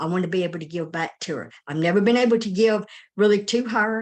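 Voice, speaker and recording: At a moderate pace, a woman talks in a normal speaking voice with fairly even intonation. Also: quiet background. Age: 60s. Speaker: network marketing member. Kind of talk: testimony.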